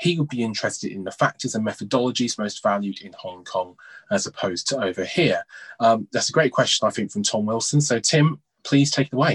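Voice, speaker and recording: Lively in intonation and somewhat breathy, a man talks at a fairly quick pace in a dry, close sound with no echo. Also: medium pitch for a man. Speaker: betting show host. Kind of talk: interview chat.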